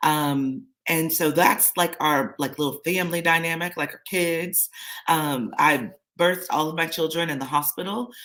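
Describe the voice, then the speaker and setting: A woman talks with an American accent. Her intonation is fairly even, at a moderate pace. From San Diego, California, US. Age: 40s. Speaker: lifestyle vlogger. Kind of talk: personal story on a livestream. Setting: live stream. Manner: casual, many filler words.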